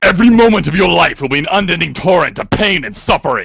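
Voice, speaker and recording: Raspy and raised, a man's put-on character voice runs at a very fast pace with a high pitch. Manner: crazy, ominous.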